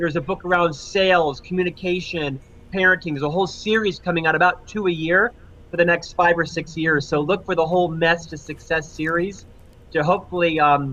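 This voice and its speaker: Bright and sharp in tone, a man's high-pitched voice moves at a moderate pace with ordinary pitch variation. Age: 50s. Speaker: author and leadership consultant. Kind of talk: interview.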